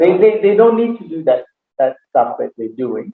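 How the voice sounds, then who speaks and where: There is a non-native accent in this man's speech. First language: not English. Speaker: aikido teacher and interviewer. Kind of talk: casual interview chat.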